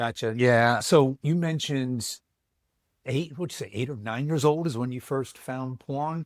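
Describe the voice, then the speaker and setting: A man in an unremarkable speaking voice talks at a fairly slow pace, medium pitch and ordinary pitch variation, the sound dry and close with no echo on a very clean recording with a silent background. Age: 60s. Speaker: podcast host and coach. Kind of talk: interview.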